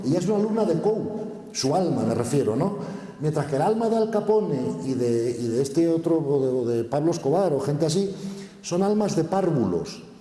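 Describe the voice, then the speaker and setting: Noticeable background noise and audible room echo surround the speech. The pace is moderate, the intonation lively, and the loudness very even. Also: man, fairly high pitch for a man. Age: 60s. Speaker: conference speaker. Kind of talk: conference Q&A answer. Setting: stage with audience.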